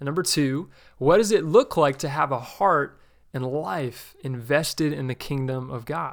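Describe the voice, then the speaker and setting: An unremarkable speaking voice from a man, pitched fairly high, with ordinary pitch variation. He talks at a fairly slow pace over a very clean recording with a silent background. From New Jersey. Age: 20s. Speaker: podcast host. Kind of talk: religious teaching podcast.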